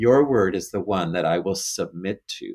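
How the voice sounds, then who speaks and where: A man talks in a plain, everyday voice at a moderate pace. The recording is very clean, with a silent background. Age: 50s. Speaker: bishop. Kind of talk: interview about faith.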